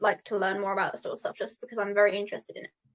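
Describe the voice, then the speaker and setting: Here is a woman with a British accent. Her voice sits fairly high in pitch. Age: 18. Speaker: mental health advocate. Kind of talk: interview. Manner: hesitant, many fillers.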